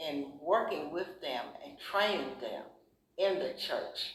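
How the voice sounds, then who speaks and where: A woman speaking at a very slow pace. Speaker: church member, oral history narrator. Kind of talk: oral history interview answer. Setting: interview room in a research library.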